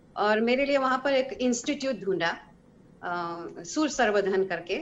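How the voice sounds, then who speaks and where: A woman with a high voice speaks with lively intonation. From Israel. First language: Hebrew (speaking Hindi). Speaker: singer. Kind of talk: interview. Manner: halting.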